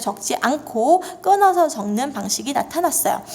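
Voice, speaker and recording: A woman at a moderate pace with very wide pitch swings, amid noticeable background noise. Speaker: Korean language teacher. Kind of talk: lecture.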